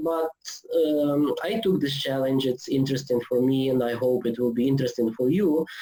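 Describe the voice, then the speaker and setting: With a non-native accent, a man speaks at a medium pitch and very even loudness, with noticeable background noise behind him. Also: ordinary pitch variation, moderate pace. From Ukraine. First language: Ukrainian. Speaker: theology lecturer. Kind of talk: online lecture. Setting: online video seminar. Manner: hesitant, many fillers.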